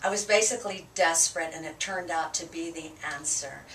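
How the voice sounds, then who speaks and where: A woman's fairly low voice with fairly even intonation at a moderate pace, over noticeable background noise. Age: 60s. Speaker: chiropractic patient. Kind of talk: patient testimony. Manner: halting, many fillers.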